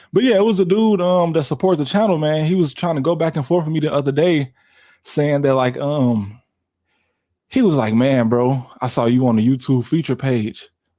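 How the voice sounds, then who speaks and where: Against a quiet background, a man with an American accent speaks at a moderate pace, his fairly high pitch, dark, mellow tone and lively intonation paired with very even loudness. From Chicago. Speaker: YouTuber and live streamer. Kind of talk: casual live stream chat. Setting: live stream from home PC. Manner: casual, conversational.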